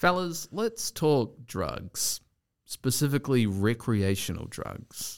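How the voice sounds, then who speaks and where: The voice moves at a very slow pace with very wide pitch swings. The recording is very clean, silent in the background, and dry and close with no echo. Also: man, medium pitch for a man. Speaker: podcast host. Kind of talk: casual chat.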